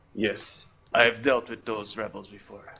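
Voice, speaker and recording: A put-on character voice from a man at medium pitch and a fairly slow pace. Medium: actual play.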